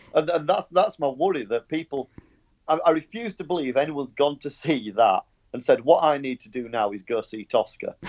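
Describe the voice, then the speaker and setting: A man with a Yorkshire accent speaks fairly quickly at a fairly high pitch, his intonation lively and his loudness swinging widely. The sound is dry and close, with no echo. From Yorkshire, northern England. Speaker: podcast panelist. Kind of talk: casual chat. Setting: Skype call.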